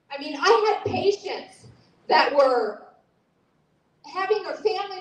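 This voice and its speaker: An extremely high-pitched woman's voice, fairly slow, with very wide pitch swings and audible room echo. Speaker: speaker at a political rally. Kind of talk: impassioned speech. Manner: loud; animated.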